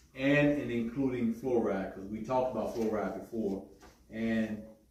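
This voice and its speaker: Amid audible room echo, a man speaks at a fairly slow pace with a medium pitch and fairly even intonation. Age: 60s. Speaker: health workshop presenter. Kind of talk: workshop talk. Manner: halting, repeats words.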